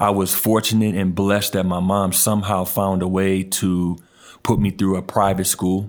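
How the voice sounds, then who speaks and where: A man's very deep, low voice, monotone and flat, at a very even loudness. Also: moderate pace. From New Orleans, Louisiana. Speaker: youth mentor and basketball coach. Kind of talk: casual interview chat. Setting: studio, in person at microphones. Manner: soft-spoken.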